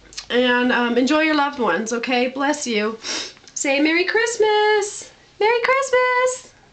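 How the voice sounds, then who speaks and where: Against noticeable background noise, a woman speaks fairly slowly with lively intonation. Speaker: home video vlogger. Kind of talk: casual video tour. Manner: hesitant, with fillers.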